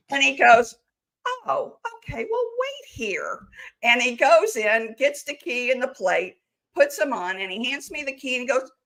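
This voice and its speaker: High-pitched and lively in intonation, a woman speaks fairly slowly with big swings in loudness. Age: 60s. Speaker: near-death experiencer. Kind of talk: interview. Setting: live stream.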